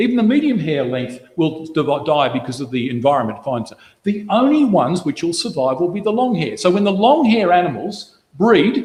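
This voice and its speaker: A man with a high voice, very wide pitch swings, moderate pace and hardly any pauses. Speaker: Bible study speaker. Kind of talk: Bible study talk.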